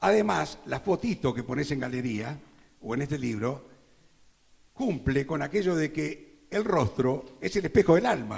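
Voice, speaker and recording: A man's speech carries very wide pitch swings and a somewhat breathy quality. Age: 70s. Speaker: advertising copywriter presenting a novel. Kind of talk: book launch presentation speech.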